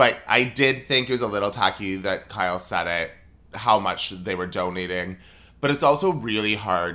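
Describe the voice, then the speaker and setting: A man with a Southern California accent, fairly low pitch and a bright, sharp tone, on a very clean recording with a silent background. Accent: Valley Girl, Californian-sounding. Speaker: podcast co-host. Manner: says "like" a lot, elongates words.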